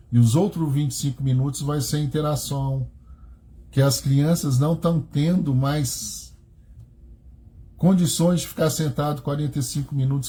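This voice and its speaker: Here a man speaks at a fairly high pitch in a somewhat breathy voice. His intonation stays fairly even. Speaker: religious teacher. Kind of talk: religious study talk. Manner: slow.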